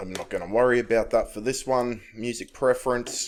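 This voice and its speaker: Recorded very cleanly against a silent background, a man with an Australian accent talks at a moderate pace. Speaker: tech tutorial youtuber. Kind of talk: screen-recorded tutorial. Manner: casual, with fillers.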